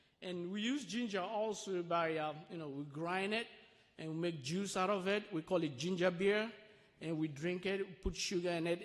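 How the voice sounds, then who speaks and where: A man with a high pitch and a strong Sierra Leonean accent. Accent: thick Sierra Leonean. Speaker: refugee sharing life story at church. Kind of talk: testimony. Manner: slow, deliberate.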